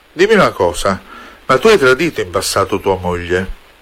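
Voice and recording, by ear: Speaking at a fairly quick pace, a man uses a fairly low pitch, a fairly bright tone and big pitch swings.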